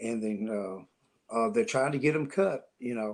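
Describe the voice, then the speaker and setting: A man with a Tennessee accent speaks at a fairly slow pace, his pitch swinging very widely. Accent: Southern US (Tennessee). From US South, Tennessee (Nashville). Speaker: country songwriter. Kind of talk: interview. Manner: halting.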